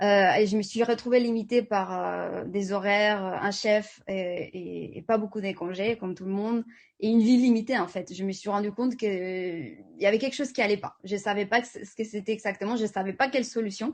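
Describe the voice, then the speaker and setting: At a moderate pace, a woman talks with fairly even intonation and a medium pitch. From Spain. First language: Spanish (speaking French). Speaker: network marketing presenter. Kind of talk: sales pitch. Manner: halting, many fillers and repetitions.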